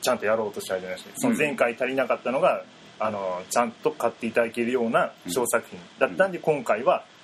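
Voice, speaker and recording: Very fast speech over noticeable background noise. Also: man. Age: 20s. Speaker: painter. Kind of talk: interview.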